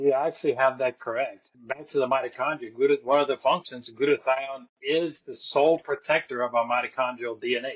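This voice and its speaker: A man's fairly high-pitched, fairly quick speech in a plain, everyday voice. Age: 60s. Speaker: wellness practitioner. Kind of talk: interview.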